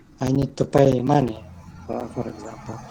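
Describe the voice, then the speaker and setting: Noticeable background noise sits under this man's voice. His pitch is fairly high and his intonation fairly even. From Kyrgyzstan. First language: Kyrgyz and Russian. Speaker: language student. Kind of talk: online class discussion. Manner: halting, many hesitations.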